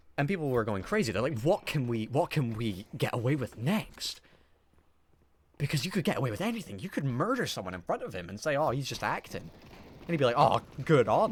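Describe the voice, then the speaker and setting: Animated, somewhat breathy delivery from a man, fairly quick, with very wide pitch swings. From Scotland. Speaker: gaming youtuber. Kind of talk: casual storytelling over gameplay.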